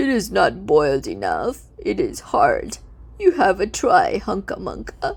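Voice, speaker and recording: Speaking fairly slowly, a man uses a put-on character voice pitched extremely high. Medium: read story.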